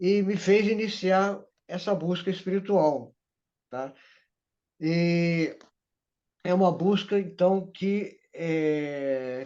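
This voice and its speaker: A man's high-pitched, dark, mellow voice at a very slow pace, with long, frequent pauses, ordinary pitch variation and a quiet background. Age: 70s. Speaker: spiritual mentor. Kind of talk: interview, personal life story.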